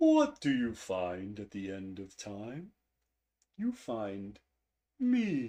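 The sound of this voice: A put-on character voice at a low pitch drags along at a very slow pace with long, frequent pauses.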